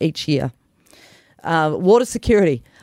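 A woman with an Australian accent speaks in a fairly low pitch with a passionate tone. The sound is dry and close, with no echo. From New South Wales, Australia. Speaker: political candidate. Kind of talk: interview.

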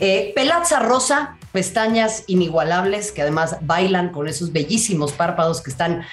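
In a Mexico City accent, a woman with a medium pitch speaks at a fairly slow pace with lively intonation, amid audible room echo and noticeable background noise. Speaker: football journalist and podcast host. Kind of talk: casual chat interview.

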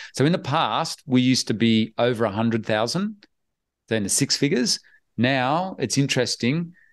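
A man speaks with an Australian accent at a moderate pace against a quiet background. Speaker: online business investor. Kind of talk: interview. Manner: animated.

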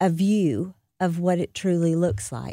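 Her tone is dark and mellow, at medium pitch for a woman. The sound is dry and close with no echo, in a very clean recording with a silent background. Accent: American. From US South. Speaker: state politician and memoir author. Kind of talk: radio interview. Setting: radio studio.

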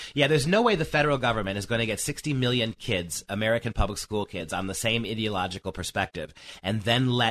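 This man talks at a very fast pace with hardly any pauses, his pitch fairly low with ordinary variation. The sound is dry and close with no echo. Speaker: education professor and speaker. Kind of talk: radio interview discussion.

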